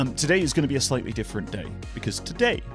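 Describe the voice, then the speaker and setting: A man speaks over music in the background. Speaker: voice actor. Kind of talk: casual livestream talk to chat.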